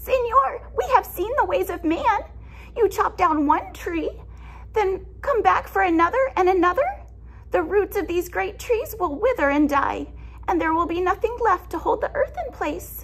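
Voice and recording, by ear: With lively intonation and a fairly bright tone, a woman speaks at a moderate pace in a put-on character voice of extremely high pitch.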